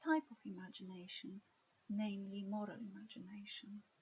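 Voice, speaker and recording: Speaking with a Polish accent, a woman uses a somewhat breathy, fairly high-pitched voice at a moderate pace. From Poland. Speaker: lecturer in ethics and moral theology. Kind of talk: recorded lecture introduction.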